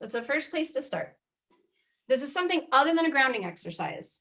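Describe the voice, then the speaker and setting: A woman speaks at a high pitch. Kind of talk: guided exercise instruction. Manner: fast; casual, animated.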